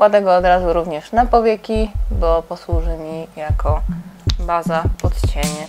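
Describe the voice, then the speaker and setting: Over music in the background, a woman talks at a fairly slow pace in a fairly low voice with ordinary pitch variation. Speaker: makeup channel host. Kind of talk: makeup tutorial chat. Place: home room. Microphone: lapel.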